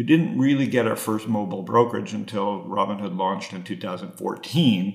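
Against noticeable background noise, a man speaks at a moderate pace and a fairly low pitch, with ordinary pitch variation and hardly any pauses. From Canada (Toronto). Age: 50s. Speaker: venture capitalist. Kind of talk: interview. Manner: halting, repeats words.

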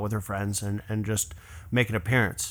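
Against a silent background in a very clean recording, a man with a medium pitch speaks in a bright, sharp tone. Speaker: professional trumpeter. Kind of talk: casual chat. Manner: animated.

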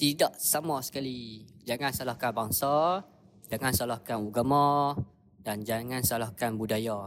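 In an ordinary speaking voice, a man talks at a fairly slow pace with ordinary pitch variation. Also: medium pitch for a man, very clean recording, silent background. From northern Peninsular Malaysia. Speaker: podcast guest. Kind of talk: casual chat.

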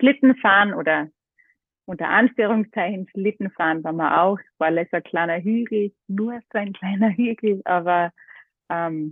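A woman talks in a normal speaking voice. She is fairly slow, with ordinary pitch variation. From Austria, Carinthia (half Greek). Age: 30s. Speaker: model and yoga teacher. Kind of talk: casual chat. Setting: phone call.

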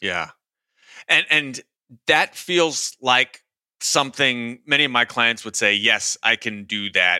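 Very slowly and with long, frequent pauses, a medium-pitched man talks in a bright, sharp tone with ordinary pitch variation, the sound dry and close with no echo on a very clean recording with a silent background. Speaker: podcast host, executive coach. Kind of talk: interview conversation.

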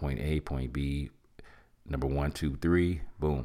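A man with a very deep, low pitch. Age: 50s. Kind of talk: motivational talk. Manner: animated.

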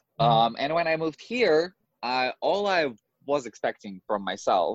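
With a Russian accent, a man speaks. His intonation is lively. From Russia (Moscow). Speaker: drag queen. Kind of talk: casual chat.

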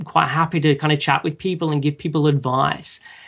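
Against a quiet background, a man with an Australian accent speaks at a fairly high pitch. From Australia, Sydney. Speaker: online nutrition counselor. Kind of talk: casual interview.

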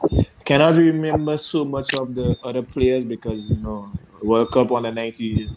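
This man talks with a Grenadian accent at a medium pitch. His pace is moderate and his pitch variation ordinary. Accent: Grenadian Caribbean English. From Grenada. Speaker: cricketer. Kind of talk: casual chat.

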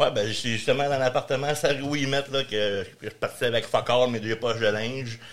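The speaker, in a Quebec accent, keeps a moderate pace with fairly even intonation and hardly any pauses. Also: man, medium pitch for a man. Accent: Quebec French, casual joual. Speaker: real estate investor and landlord. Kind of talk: casual interview.

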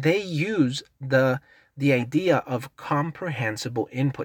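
Someone speaks with a Spanish accent on a very clean recording with a silent background. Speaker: English teacher, podcast host. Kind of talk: lesson, casual tutorial. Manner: halting, with frequent repetitions.

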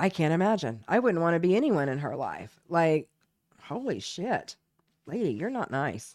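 On a very clean recording with a silent background, a woman with an American accent speaks at fairly low pitch, with vocal fry and very wide pitch swings. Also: moderate pace. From Oklahoma. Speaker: podcast co-host. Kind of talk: casual chat.

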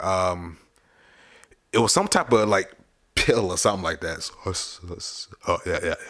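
On a very clean recording with a silent background, a man talks at a moderate pace with long, frequent pauses. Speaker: podcast co-host. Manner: passionate about topics.

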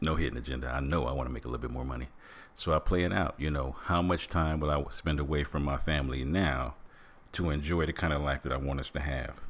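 With an American accent and vocal fry, a man with a very deep, low pitch talks at a very fast pace in an animated tone. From Michigan. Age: 50s. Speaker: podcast host. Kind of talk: motivational monologue.

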